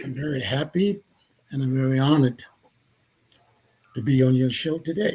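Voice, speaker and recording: A man's fairly high, somewhat breathy voice with a dark, mellow tone, moderate pace, ordinary pitch variation and long, frequent pauses. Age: 90s. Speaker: religious minister. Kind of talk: interview.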